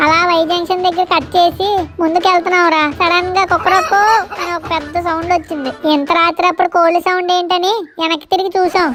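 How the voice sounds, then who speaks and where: A woman performs a put-on character voice at a moderate pace. Clear background noise runs underneath. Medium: comedy sketch. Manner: cheeky, bossy.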